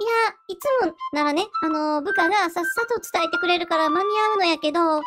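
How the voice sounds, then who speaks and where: A woman uses a put-on character voice. She speaks at a moderate pace. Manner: flustered, rambling, casual.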